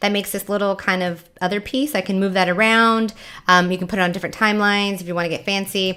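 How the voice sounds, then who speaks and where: A loud woman talks at a very fast pace with a bright, sharp tone and fairly even intonation. The recording is very clean, and the background is silent. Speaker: science educator giving video tutorial. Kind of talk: tutorial. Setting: home kitchen. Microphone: USB Yeti mic into laptop, some echo.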